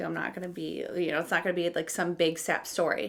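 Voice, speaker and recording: Noticeable noise fills the background as a woman talks very fast. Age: 30s. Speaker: makeup artist and vlogger. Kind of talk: casual chat while getting ready.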